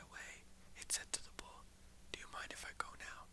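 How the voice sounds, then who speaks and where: A whisper comes through with noticeable background noise behind it. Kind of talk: read story. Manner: whispered.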